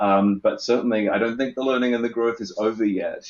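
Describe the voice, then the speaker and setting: Talking at a fairly quick pace, a man speaks in an Australian accent. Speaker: event producer. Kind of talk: panel discussion. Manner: hesitant, many fillers.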